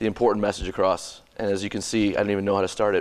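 Speaking at a fairly quick pace, a man uses a fairly low pitch. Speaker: philosophy professor; university lecturer. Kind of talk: lecture. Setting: symposium talk with audience. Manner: hesitant, many fillers. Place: classroom.

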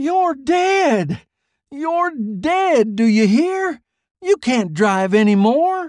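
Shouting in a put-on character voice, a man goes extremely high in pitch with big pitch swings, a slightly mellow tone and a very slow pace.

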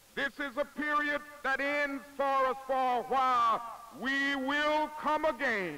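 Over noticeable background noise, a man with an American accent uses a raised, projected voice at an extremely high pitch, speaking at a very slow pace with fairly even intonation. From Southern United States. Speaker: civil rights leader, minister. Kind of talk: political speech to a crowd. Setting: outdoor rally, archival news film. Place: open country. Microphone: podium.

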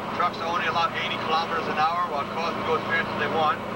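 A man talks at a very fast pace. Loud background noise runs beneath his speech. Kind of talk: interview answer. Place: car. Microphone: old recording.

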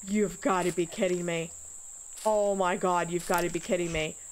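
At a moderate pace, a woman speaks with a fairly low pitch and fairly even intonation over faint background noise.

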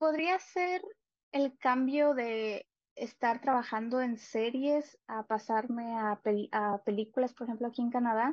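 A woman speaks very slowly in a high voice with ordinary pitch variation, the sound dry with no echo over a quiet background. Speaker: guest. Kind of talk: interview answer. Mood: friendly, smiling. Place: home room.

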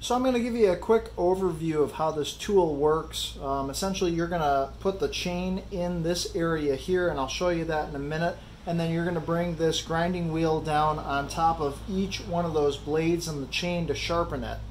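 A man speaks at a moderate pace with a high pitch and fairly even intonation, hardly pausing at all. Light background noise sits behind him. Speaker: DIY channel host. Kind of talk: tutorial. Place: garage. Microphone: phone near.

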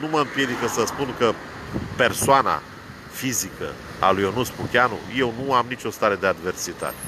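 Amid noticeable background noise, a man with an animated tone speaks at a moderate pace with ordinary pitch variation and long, frequent pauses, the sound dry with no echo. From Romania, Brăila; Romania. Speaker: vlogger, political commentator. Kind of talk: rant / monologue. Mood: argumentative, critical. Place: car. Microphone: phone near.

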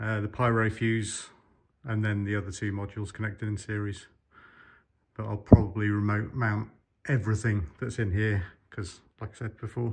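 A man with a fairly low, somewhat breathy voice speaks in a monotone, flat way. He leaves long, frequent pauses against a quiet background. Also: moderate pace. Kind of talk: casual explanatory vlog commentary. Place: workshop. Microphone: phone near.

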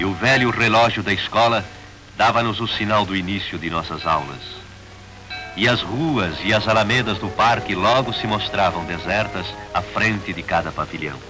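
Music plays in the background as a man talks at a moderate pace. His pitch is fairly low, with ordinary variation. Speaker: narrator. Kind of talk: documentary narration. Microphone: old recording.

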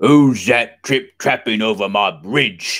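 A man's put-on character voice, loud and shouting, slow in pace, fairly bright in tone, with ordinary pitch variation, in a very clean recording with a silent background. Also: fairly low pitch for a man.

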